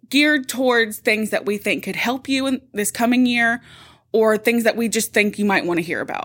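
A woman with a normal speaking voice talks at a moderate pace in a fairly high pitch with ordinary pitch variation, in a very clean recording over a silent background. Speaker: podcast host, corporate support staff. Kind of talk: casual chat, workplace podcast.

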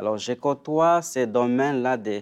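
A man at a very slow pace, medium in pitch. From Democratic Republic of the Congo. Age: 40s. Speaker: author and spiritual care worker. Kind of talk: interview. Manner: halting.

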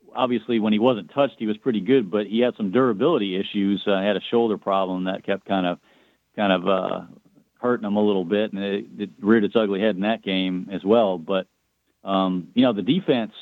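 A man's unremarkable speaking voice, fairly low in pitch, at a moderate pace with ordinary pitch variation. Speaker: sports broadcaster. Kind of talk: casual sports talk.

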